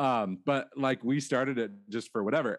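Against a quiet background, a man talks in an animated tone at a moderate pace and medium pitch. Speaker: high school choir director. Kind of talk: casual interview chat.

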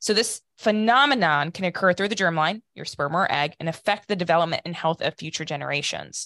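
A woman with an American accent speaks fairly quickly in a fairly low voice with lively intonation. The sound is dry and close with no echo, against a quiet background. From Ohio, US Midwest. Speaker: company founder, scientist. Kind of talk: interview.

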